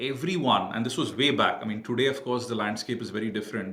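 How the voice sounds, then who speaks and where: A man with an Indian accent talks at a very fast pace with medium pitch and ordinary pitch variation, amid noticeable background noise and audible room echo. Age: 40s. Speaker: cybersecurity entrepreneur. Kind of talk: podcast interview.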